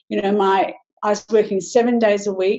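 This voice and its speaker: A woman with an Australian accent speaks at a medium pitch and a moderate pace. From Western Australia. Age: 60s. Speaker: business presenter. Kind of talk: webinar presentation.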